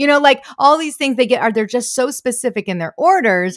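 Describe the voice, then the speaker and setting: Recorded very cleanly against a silent background, a woman with an American accent speaks with lively intonation. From Michigan, US. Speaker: comedian and impressionist. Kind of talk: casual chat.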